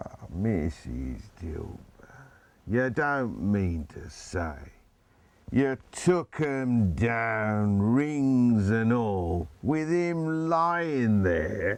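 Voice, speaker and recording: A man performs a put-on character voice at a medium pitch. He speaks very slowly with very wide pitch swings. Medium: stage play. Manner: chuckling, wheedling.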